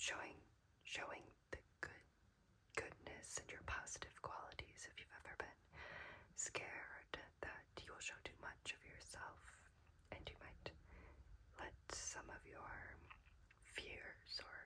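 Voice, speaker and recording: Very slow whispering broken by long, frequent pauses. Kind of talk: ASMR oracle card reading. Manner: whispered.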